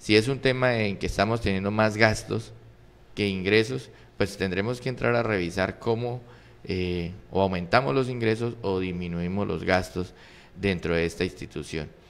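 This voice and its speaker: A man speaks at a moderate pace. His pitch is fairly low, with ordinary variation. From Colombia, Arauca department; Colombia. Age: 40s. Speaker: political candidate; candidate. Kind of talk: interview; interview answer. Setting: studio. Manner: halting. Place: studio. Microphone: studio mic.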